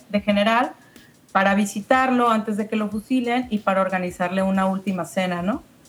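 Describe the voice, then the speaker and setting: A woman talks at a moderate pace with ordinary pitch variation, in an ordinary speaking voice. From La Paz, Baja California Sur, Mexico. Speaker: screenwriter and filmmaker. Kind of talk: casual interview chat.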